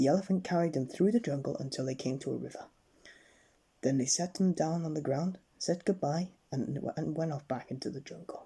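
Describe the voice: The voice has a dark, mellow tone and a slightly husky edge. It moves at a fairly quick pace with ordinary pitch variation.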